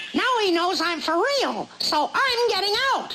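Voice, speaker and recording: A squeaky, extremely high-pitched cartoonish character voice at a fairly slow pace, with clear background noise. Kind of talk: cartoon comic acting.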